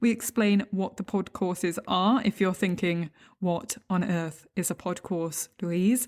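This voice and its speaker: On a very clean recording with a silent background, a woman with an English accent speaks at a moderate pace. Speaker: podcast host teaching legal English. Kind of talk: podcast interview.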